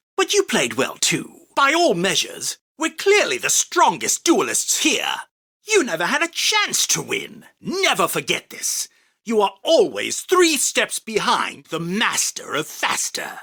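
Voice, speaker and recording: Putting on a character voice, a man speaks at a fairly slow pace with an extremely high pitch. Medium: dub. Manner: commanding, boastful.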